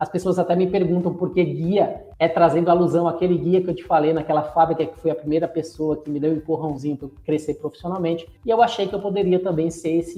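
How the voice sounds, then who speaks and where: A man talks at a very fast pace in a high voice. His intonation stays fairly even. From Bahia, Brazil. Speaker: logistics specialist and podcaster. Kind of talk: podcast interview.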